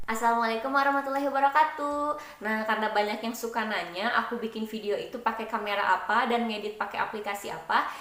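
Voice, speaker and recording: Delivered at a very fast pace with hardly any pauses, the speech has ordinary pitch variation, with noticeable background noise and audible room echo. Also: woman, fairly high pitch for a woman. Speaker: YouTuber. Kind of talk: tutorial. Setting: recorded on phone with earphone mic. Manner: casual.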